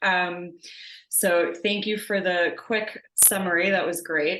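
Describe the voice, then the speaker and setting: A woman speaks at a very slow pace with an American accent. Her pitch varies in an ordinary way. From US Northeast, Long Island, New York. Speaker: interviewer. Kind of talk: interview conversation. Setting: video call.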